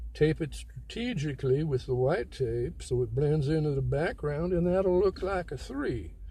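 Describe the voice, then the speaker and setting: Audible room echo around a man talking at a fairly slow pace. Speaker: self-help video maker. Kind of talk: casual monologue.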